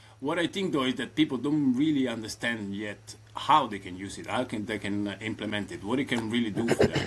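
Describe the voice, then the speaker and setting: A man with an Italian accent talks at a fairly quick pace with hardly any pauses, his medium-pitched voice showing ordinary pitch variation. His loudness swings widely, and background noise is noticeable. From southern Italy, Reggio Calabria. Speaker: AI automation consultant. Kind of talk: casual interview. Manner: hesitant, many fillers.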